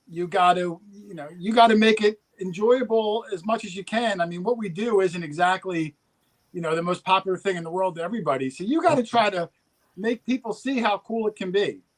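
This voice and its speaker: With a New Jersey accent, a man talks at a high pitch with ordinary pitch variation and big swings in loudness, recorded dry and close with no echo. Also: fairly quick pace. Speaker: metal detecting youtuber. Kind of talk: casual chat. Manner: fast.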